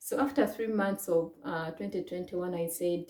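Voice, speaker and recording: A woman at a moderate pace with a fairly low pitch. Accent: Ugandan. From Uganda. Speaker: vlogger. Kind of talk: personal story to camera. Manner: hesitant, many fillers.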